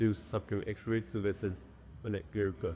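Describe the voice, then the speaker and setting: A man speaks at a moderate pace in a very deep, low pitch. Vocal fry runs through his voice. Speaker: music producer. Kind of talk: interview answer.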